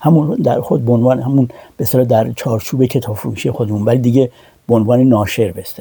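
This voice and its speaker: A man talks at a very fast pace with fairly even intonation. His voice is medium in pitch and somewhat breathy. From Iran. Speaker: translator and publisher. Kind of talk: interview. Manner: halting, many fillers.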